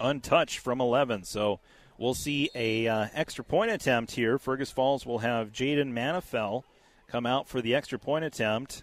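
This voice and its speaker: On a very clean recording with a silent background and a dry, close sound with no echo, a man uses a plain, everyday voice at medium pitch, moderate pace and ordinary pitch variation. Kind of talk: live commentary.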